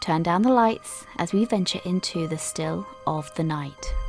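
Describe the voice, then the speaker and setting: Over music in the background, a woman talks at a fairly slow pace with a medium pitch and lively intonation. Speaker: podcast host. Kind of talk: podcast intro.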